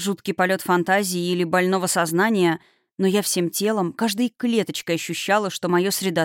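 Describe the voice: Quiet surroundings, plain reading aloud, and fairly even intonation.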